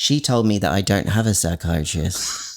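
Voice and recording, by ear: A man with a low pitch, a fairly slow pace, and lively intonation.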